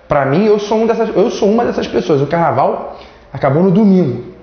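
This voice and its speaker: A man's high voice with very wide pitch swings, set against audible room echo and noticeable background noise. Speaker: law teacher. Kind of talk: lecture. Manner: casual, joking.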